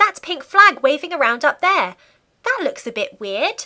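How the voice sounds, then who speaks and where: In a squeaky, put-on character voice, the speaker swings very widely in pitch at a moderate pace. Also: woman, extremely high pitch for a woman. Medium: read story.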